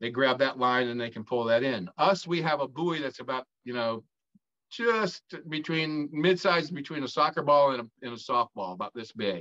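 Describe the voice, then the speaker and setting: Recorded with a dry, close sound and no echo, a man in a Southern US accent speaks at a moderate pace and medium pitch with a bright, sharp tone and lively intonation. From North Carolina. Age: 60s. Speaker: former drug smuggler, author. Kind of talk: interview storytelling. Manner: halting, many fillers.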